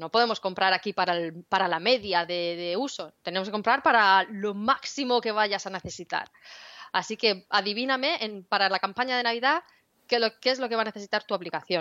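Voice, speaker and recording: A woman with a Spanish accent talks at a fairly quick pace in a bright, sharp tone, her pitch varying in an ordinary way. The sound is dry and close with no echo, over a quiet background. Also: medium pitch for a woman. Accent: Spanish from Spain. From Spain. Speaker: cloud developer advocate, podcast co-host. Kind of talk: casual tech chat.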